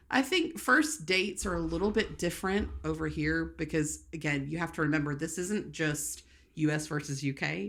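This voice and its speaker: Speaking at a moderate pace, a woman talks with a Southern US accent. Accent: Southern American. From rural US South. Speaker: podcast co-host. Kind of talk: casual chat.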